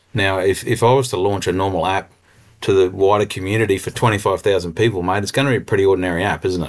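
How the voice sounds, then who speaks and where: In an Australian accent, a man with a fairly low pitch speaks very fast on a very clean recording with a silent background. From central Queensland, Australia. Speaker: agtech company co-founder and rural consultant. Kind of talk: interview. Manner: animated.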